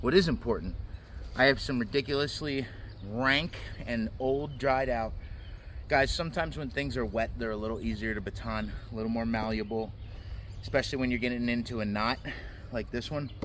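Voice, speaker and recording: Amid audible room echo, a man of medium pitch talks at a fairly quick pace with ordinary pitch variation and long, frequent pauses. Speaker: knife reviewer. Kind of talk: product review. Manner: loud.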